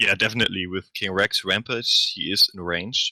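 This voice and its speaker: The voice has a bright, sharp tone and fairly even intonation at a moderate pace. The sound is dry and close with no echo, against a quiet background. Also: man. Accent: non-native. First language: not English. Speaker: game commentator. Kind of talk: live commentary.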